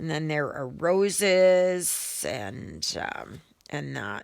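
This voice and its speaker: A woman speaks with a Canadian Prairies accent. Her pitch sits fairly low. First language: German. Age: 60s. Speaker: cross-stitch video creator. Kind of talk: casual vlog chat. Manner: halting, many fillers.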